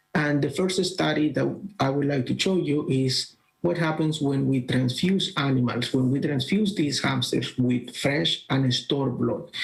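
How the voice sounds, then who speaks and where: With a Colombian accent, a man speaks somewhat breathily at a fairly high pitch and a fairly slow pace. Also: ordinary pitch variation, very even loudness. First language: Spanish. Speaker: bioengineering professor. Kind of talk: conference presentation. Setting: virtual congress, recorded talk. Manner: halting, with fillers.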